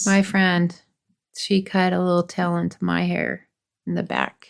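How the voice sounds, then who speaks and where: A woman with a Utah accent at a fairly slow pace, on a very clean recording with a silent background. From Utah, US.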